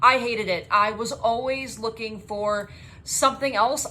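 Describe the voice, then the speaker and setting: A woman talks in an energetic tone. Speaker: spray tan business owner and trainer. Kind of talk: course introduction video.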